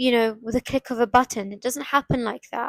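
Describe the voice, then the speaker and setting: A woman's high-pitched voice at a moderate pace, the sound dry and close with no echo. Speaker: self-help podcaster. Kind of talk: motivational monologue. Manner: repetitive, halting restarts.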